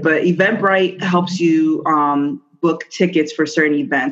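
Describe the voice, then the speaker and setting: A woman with an American accent talks fairly slowly in an ordinary speaking voice, pitched fairly low. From New Jersey. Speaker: business owner. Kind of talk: interview. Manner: casual, with many fillers.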